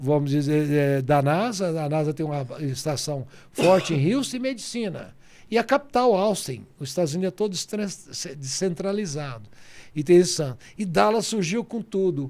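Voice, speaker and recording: In a very clean recording with a silent background, a man with an unremarkable speaking voice talks at a moderate pace, his fairly high pitch carrying lively intonation. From Goiás, central Brazil. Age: 60s. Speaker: businessman and politician. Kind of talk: interview.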